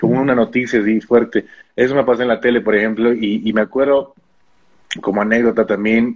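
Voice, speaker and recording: Using a normal speaking voice, a man talks at a fairly quick pace with a fairly low pitch and fairly even intonation. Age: 20s. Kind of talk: interview.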